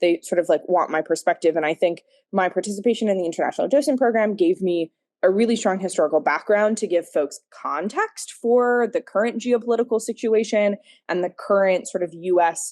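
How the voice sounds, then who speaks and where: Over a quiet background, a woman with an American accent talks at a fairly quick pace in an unremarkable speaking voice. The sound is dry and close with no echo, and her pitch varies in an ordinary way. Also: medium pitch for a woman. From United States. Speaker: former museum docent. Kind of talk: interview answer. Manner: many fillers, um and like.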